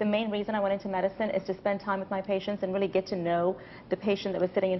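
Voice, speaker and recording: A woman talks very fast in a flat monotone over light background noise. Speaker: physician. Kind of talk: interview answer. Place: studio. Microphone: lapel.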